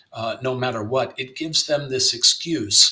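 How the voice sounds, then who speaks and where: Noticeable noise fills the background. Through it, a man talks with an American accent. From US South, Miami, Florida. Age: 60s. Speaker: playwright and novelist. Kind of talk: interview conversation. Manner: halting, many fillers and repetitions.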